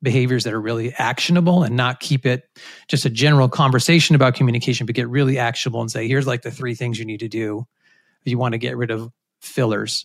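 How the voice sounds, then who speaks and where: A man of medium pitch with an American accent, an ordinary speaking voice and fairly even intonation, in a very clean recording with a silent background. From US Northeast, Rhode Island. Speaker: communication professor. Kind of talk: interview.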